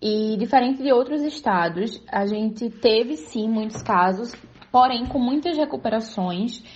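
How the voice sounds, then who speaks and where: Fairly high, somewhat breathy female voice at a moderate pace, with ordinary pitch variation. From Pernambuco, Brazil. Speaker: journalist. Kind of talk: recorded report.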